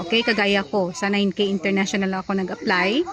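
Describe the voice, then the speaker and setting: A woman speaking at a moderate pace, with noticeable background noise. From Philippines. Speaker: vlogger and nanny. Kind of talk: casual vlog advice. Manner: conversational, with frequent fillers.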